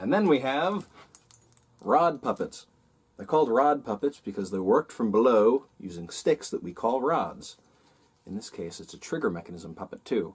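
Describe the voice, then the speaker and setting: A man talks at a moderate pace and a medium pitch with very wide pitch swings. Vocal fry runs through his voice. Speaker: puppeteer. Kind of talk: children's educational tutorial. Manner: upbeat, friendly.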